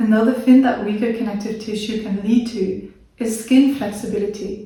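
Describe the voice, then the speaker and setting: Her voice fairly high and her intonation monotone and flat, a woman speaks amid audible room echo. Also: moderate pace. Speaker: video creator with a chronic illness. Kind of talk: educational talk to camera.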